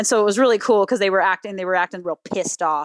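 A woman speaks at medium pitch with fairly even intonation. The sound is dry and close, with no echo. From Southern California. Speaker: musical theater historian and web series creator. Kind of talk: casual podcast chat.

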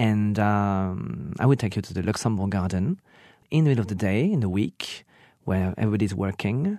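With a French accent, a man talks at a moderate pace in a fairly low pitch with ordinary pitch variation over a quiet background. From Burgundy, France. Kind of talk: casual chat.

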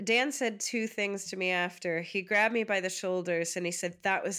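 Someone speaks in a New York accent with a bright, sharp tone. The pace is moderate and the pitch variation ordinary. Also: woman, very clean recording, silent background. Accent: American, New York. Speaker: comedian. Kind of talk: interview.

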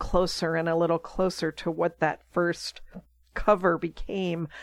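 A woman with an American accent has an ordinary speaking voice and fairly even intonation. She talks at a moderate pace against a quiet background. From Pittsburgh, Pennsylvania. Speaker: children's author. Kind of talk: interview.

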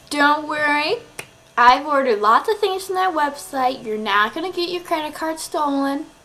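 A woman's high voice with very wide pitch swings over noticeable background noise. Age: 20s. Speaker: video podcaster, college student. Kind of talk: casual vlog monologue.

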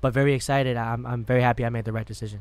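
Very fast and in a monotone, flat intonation, a man with an American accent speaks at a medium pitch. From Madison, Wisconsin. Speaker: rapper. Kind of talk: casual chat.

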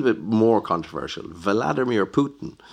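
In an Irish accent, a man with a fairly low pitch speaks at a moderate pace against a quiet background. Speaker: podcast host. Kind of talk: interview.

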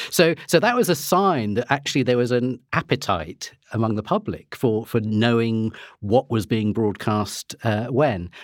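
On a very clean recording with a silent background, a man with an ordinary speaking voice talks fairly slowly in a medium pitch, his intonation lively. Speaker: historian and author. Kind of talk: panel discussion.

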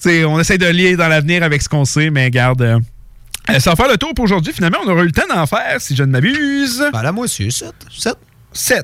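Speaking fairly quickly with a Quebec accent, a man uses a high pitch, very wide pitch swings, and long, frequent pauses. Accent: Québécois French. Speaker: radio sports show host. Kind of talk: hockey talk radio panel. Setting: radio studio.

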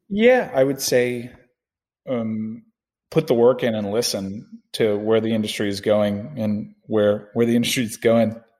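This man has an unremarkable speaking voice at a medium pitch and talks at a fairly slow pace. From Miami, Florida. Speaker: sports show producer and football fan guest. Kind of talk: casual sports podcast chat.

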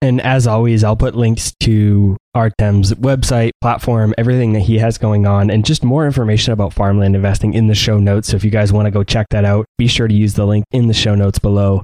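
Dry and close with no echo, a man speaks in a dark, mellow tone at a fairly low pitch, monotone and flat, at a fairly quick pace with hardly any pauses and very even loudness. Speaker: podcast host. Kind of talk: interview.

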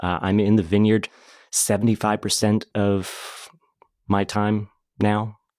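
With a normal speaking voice and an American accent, a man talks at a fairly slow pace in a fairly low pitch, captured in a very clean recording with a silent background and a dry, close sound with no echo. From Oregon. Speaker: winemaker. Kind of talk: casual chat.

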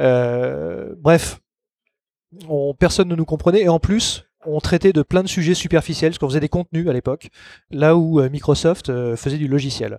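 On a very clean recording with a silent background, a man with fairly high pitch and a dark, mellow tone speaks with long, frequent pauses in a dry, close sound with no echo. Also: ordinary pitch variation, moderate pace. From Paris, France. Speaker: hypnotherapist. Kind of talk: interview conversation.

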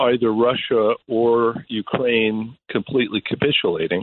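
Talking at a fairly slow pace, a man has an unremarkable speaking voice at a medium pitch. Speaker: foreign affairs analyst. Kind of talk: radio interview.

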